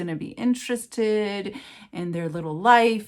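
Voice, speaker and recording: A woman speaks with a West Coast US accent. Her intonation is lively. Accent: General American (West Coast). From Los Angeles, California. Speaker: writer and writing teacher. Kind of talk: interview answer. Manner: conversational, reflective, with fillers.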